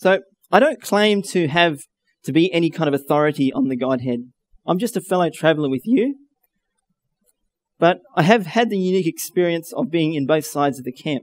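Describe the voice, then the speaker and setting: Fairly quick speech from a man, with a dry sound and no echo. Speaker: speaker. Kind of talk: sermon. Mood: earnest, humble. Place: hall. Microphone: headset.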